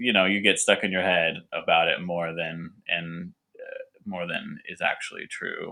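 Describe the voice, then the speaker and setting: A man with a Californian accent at a moderate pace, on a very clean recording with a silent background. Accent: Californian American English. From Southern California. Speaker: winemaker and cider maker. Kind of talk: podcast interview. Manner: halting, repetitive.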